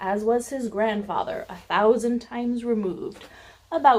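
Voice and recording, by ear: Someone is reading aloud in a natural voice. Their intonation stays fairly even.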